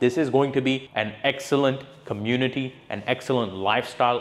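Fairly quick speech from a man with fairly even intonation. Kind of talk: property presentation to camera. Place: office.

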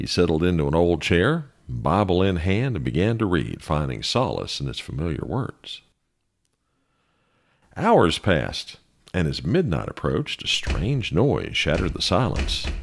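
This man speaks with a very deep, low pitch, very wide pitch swings and vocal fry, in a very clean recording with a silent background. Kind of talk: ghost story narration.

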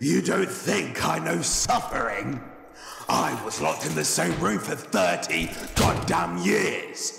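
A man's put-on character voice at a fairly slow pace, with clear echo, light background noise and sound effects in the background. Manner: angry, ranting.

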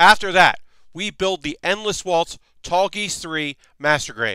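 A man's bright, sharp voice, dry with no echo, against a quiet background. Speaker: live streamer host. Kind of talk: casual stream chat. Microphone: headset.

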